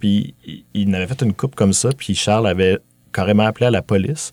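This is a plain, everyday voice at a fairly quick pace with ordinary pitch variation. The sound is dry and close, with no echo. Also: man. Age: 30s. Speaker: filmmaker. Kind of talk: casual chat. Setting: studio.

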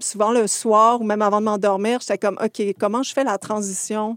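Dry and close with no echo, the recording features a woman with a Quebec accent and a fairly high pitch. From rural Quebec, Montérégie. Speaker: animation filmmaker. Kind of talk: casual interview.

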